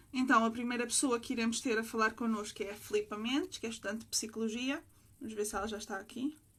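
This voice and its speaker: A woman speaks at a fairly quick pace in a fairly high, somewhat breathy voice with fairly even intonation. The recording is very clean, with a silent background. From Portugal (Sintra). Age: 20s. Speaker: livestream host. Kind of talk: interview. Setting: livestream.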